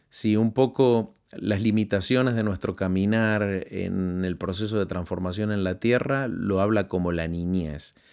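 The man has an ordinary speaking voice with a fairly low pitch. He talks at a fairly slow pace with ordinary pitch variation. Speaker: radio host and preacher.

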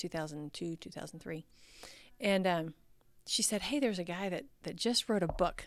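With an American accent and a plain, everyday voice, a woman speaks at a moderate pace in a fairly low pitch with ordinary pitch variation, recorded very cleanly against a silent background. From Texas. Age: 50s. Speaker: educator and nonprofit training director. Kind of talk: podcast interview.

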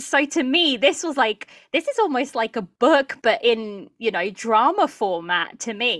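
In a very clean recording with a silent background and a dry, close sound with no echo, a woman speaks at a moderate pace in a high pitch with very wide pitch swings. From Portugal. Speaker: drama podcaster. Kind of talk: casual chat.

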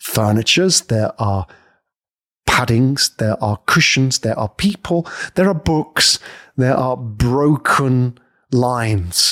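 In a British accent, a man talks at a very slow pace with lively intonation, captured in a dry, close sound with no echo on a very clean recording with a silent background. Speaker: podcast host and coach. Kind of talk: scripted-style educational monologue. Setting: studio with microphone. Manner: animated, performed delivery.

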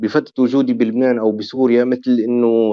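This is a man's voice. His pitch is medium. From Syria. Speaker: oud musician and maker. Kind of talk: interview testimony. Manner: calm.

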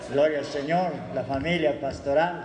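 A man with a fairly high pitch talks at a fairly slow pace in a monotone, flat intonation. Audible room echo and noticeable background noise surround him. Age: old. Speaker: church member. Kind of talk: church greeting.

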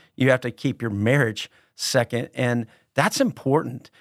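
This man has a plain, everyday voice, medium pitch, an American accent and ordinary pitch variation, speaking at a moderate pace in dry, close sound with no echo on a very clean recording with a silent background. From Texas, San Antonio. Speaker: pastor. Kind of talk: casual chat.

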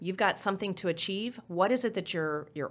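Speaking with an American accent and an unremarkable speaking voice, the voice has lively intonation at a moderate pace on a very clean recording with a silent background. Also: woman. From Oklahoma. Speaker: transit agency finance executive. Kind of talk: interview.

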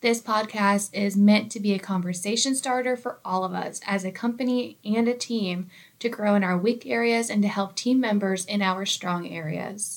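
A woman speaks in a normal speaking voice at medium pitch and a moderate pace, with fairly even intonation and hardly any pauses. The recording is very clean, with a silent background. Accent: American. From United States, small town. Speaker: workplace podcast co-host, employee engagement coordinator. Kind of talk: scripted educational podcast.

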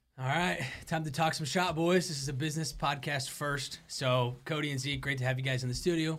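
A man is talking. His pace is fairly quick, with ordinary pitch variation. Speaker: co-host recruiter. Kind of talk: casual chat. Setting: studio. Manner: upbeat, enthusiastic.

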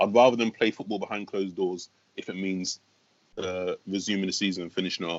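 In a very deep, low voice, a man speaks at a fairly quick pace with fairly even intonation. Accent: London. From West London. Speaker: stand-up comedian. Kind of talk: casual chat.

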